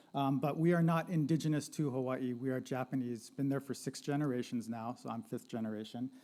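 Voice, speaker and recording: This man talks at a fairly quick clip with hardly any pauses, his medium-pitched voice dark and mellow. He has an American accent and fairly even intonation. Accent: American accent noticeable in New Zealand. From Southern California. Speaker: sociology lecturer. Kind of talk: panel presentation. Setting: live-streamed panel with audience. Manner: casual, conversational.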